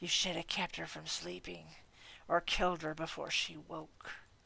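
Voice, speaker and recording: A man puts on a raspy character voice and delivers it at a moderate pace. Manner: malevolent, slow.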